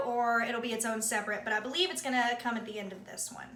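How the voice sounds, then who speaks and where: A woman with an American accent speaks at a fairly quick pace and high pitch. Audible room echo and noticeable background noise surround her voice. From US South. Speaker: beauty vlogger. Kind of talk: casual chat.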